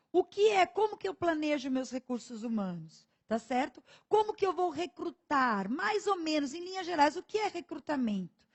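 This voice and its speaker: Pitched high, a woman talks at a moderate pace, her voice making very wide pitch swings. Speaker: exam prep teacher. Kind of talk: online lecture. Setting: studio.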